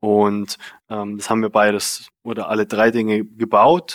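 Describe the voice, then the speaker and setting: On a very clean recording with a silent background, a man of medium pitch speaks very slowly. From Bavarian Swabia, Germany (Unterallgäu, near Memmingen). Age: 20s. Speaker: software tech lead. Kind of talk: casual interview. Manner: hesitant, many fillers.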